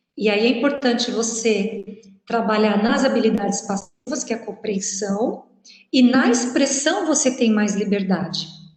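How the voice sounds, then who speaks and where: Audible room echo surrounds a woman with a fairly high pitch. She speaks at a fairly slow pace with ordinary pitch variation. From Brazil. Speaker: university professor. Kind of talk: lecture.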